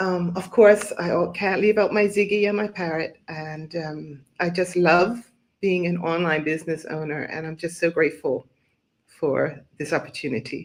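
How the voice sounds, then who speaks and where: Ordinary pitch variation at a moderate pace, delivered in an unremarkable speaking voice. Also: woman, fairly low pitch for a woman. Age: 60s. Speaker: online business owner, retired banker. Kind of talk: live stream interview. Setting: live online stream.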